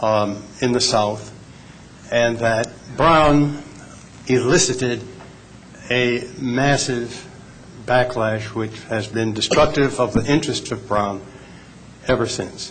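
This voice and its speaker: Noticeable background noise and audible room echo surround a man speaking with an American accent. He talks at a very slow pace with ordinary pitch variation and long, frequent pauses. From US Midwest, Kansas City, Missouri. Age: 70s. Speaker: panelist, civil rights veteran. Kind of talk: panel talk.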